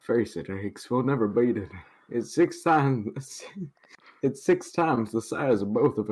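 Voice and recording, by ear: Natural-voiced reading aloud, intonation lively throughout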